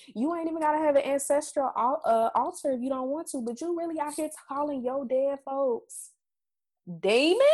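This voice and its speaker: A high-pitched woman at a moderate pace, with ordinary pitch variation, on a very clean recording with a silent background. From Mississippi, US South. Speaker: podcast co-host. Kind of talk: casual chat.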